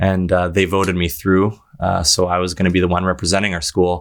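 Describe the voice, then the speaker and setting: In a Canadian accent, a man talks with a very deep, low pitch. His intonation is monotone and flat. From southwestern Ontario, Canada (Amherstburg). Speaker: singer-songwriter. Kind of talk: interview. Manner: hesitant, many fillers.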